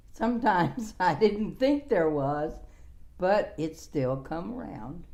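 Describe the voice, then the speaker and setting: A woman with an American accent speaks very slowly in a fairly low voice with a dark, mellow tone. Her pitch swings very widely, her loudness shifts a great deal, and the room echo is audible. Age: 70s. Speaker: former care home owner and author. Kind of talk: interview. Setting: at her home.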